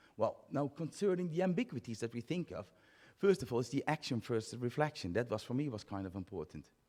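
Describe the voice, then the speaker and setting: At a very fast pace, a man with a medium pitch and a dark, mellow tone speaks with very wide pitch swings. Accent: Dutch. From Netherlands. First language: Dutch. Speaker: physiotherapy academic, conference speaker. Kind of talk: conference talk. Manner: halting.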